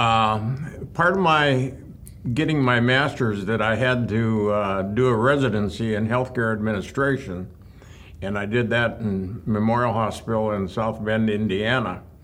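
At a fairly slow pace, a man with an American accent speaks at a medium pitch with ordinary pitch variation, and audible room echo is present. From southwestern Minnesota, rural. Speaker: retired hospital executive. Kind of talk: interview reminiscence.

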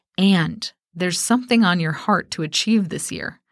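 A woman talks at a moderate pace, and the recording is very clean with a silent background. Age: 40s. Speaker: business coach and podcast host. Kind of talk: solo motivational podcast talk. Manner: animated.

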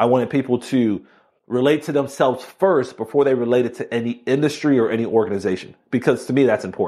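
Against a quiet background, a man with a Miami accent speaks at a very fast pace, his dark, mellow tone showing ordinary pitch variation. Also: medium pitch for a man. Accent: Miami accent, audible in fast speech. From Miami, Florida. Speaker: law enforcement officer and keynote speaker. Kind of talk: interview conversation.

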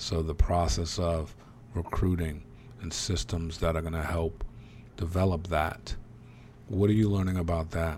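A man with a very deep, low, somewhat breathy voice speaks at a moderate pace, his pitch varying in an ordinary way. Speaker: podcast host. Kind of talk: casual interview. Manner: energetic.

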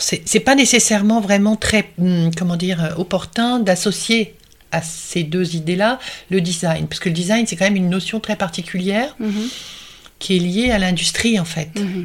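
A woman's medium-pitched, unremarkable speaking voice at a moderate pace, with ordinary pitch variation. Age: 60s. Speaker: art and design historian. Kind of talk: interview. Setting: at her home.

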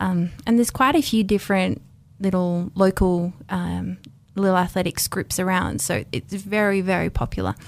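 A woman speaks at a moderate pace with an Australian accent. The recording is very clean, with a silent background. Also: medium pitch for a woman, ordinary pitch variation. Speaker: former race walker. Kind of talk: radio interview. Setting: studio.

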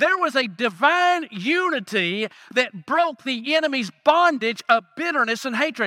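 An extremely high-pitched male voice, raised and projected, bright and sharp in tone, with lively intonation and a fairly slow pace, dry and close with no echo in a very clean recording against a silent background. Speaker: guest preacher. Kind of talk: sermon. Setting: church with congregation. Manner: fervent, rhythmic call-and-response style.

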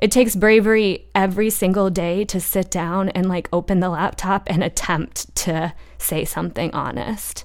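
In a very clean recording over a silent background, a woman uses a normal speaking voice at medium pitch, with fairly even intonation, a moderate pace and hardly any pauses. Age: 20s. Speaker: journalist. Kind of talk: casual chat.

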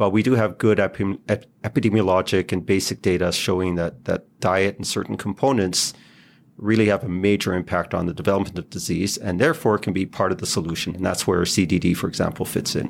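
Talking very fast, a man uses a fairly low pitch with ordinary pitch variation. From Israel. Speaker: pediatric gastroenterologist. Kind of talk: interview. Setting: video call.

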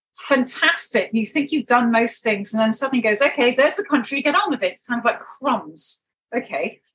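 A woman speaks at a moderate pace in a southern English accent, her pitch high. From United Kingdom. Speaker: wellness practitioner and network marketing leader. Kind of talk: interview.

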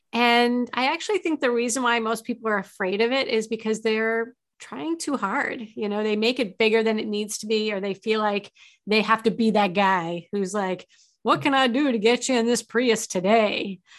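An unremarkable speaking voice at a moderate pace, with ordinary pitch variation and a quiet background. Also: woman, fairly high pitch for a woman. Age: 50s. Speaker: sales advisor and trainer. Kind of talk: interview.

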